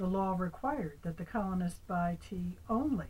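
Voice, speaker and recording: With vocal fry and lively intonation, a woman speaks at a fairly slow pace and a fairly low pitch. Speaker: grandmother reading to grandchildren. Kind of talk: storybook reading aloud.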